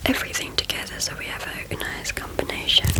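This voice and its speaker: Noticeable background noise sits behind a fairly slow whisper. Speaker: ASMR artist. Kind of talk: ASMR recipe visualisation. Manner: whispered, up close.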